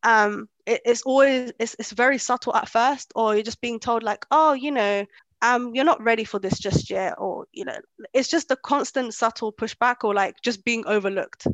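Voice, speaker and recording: In a dry, close sound with no echo, a woman with a London accent speaks at a moderate pace, her fairly high pitch showing ordinary variation. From born in Kenya, raised in London. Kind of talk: casual interview chat.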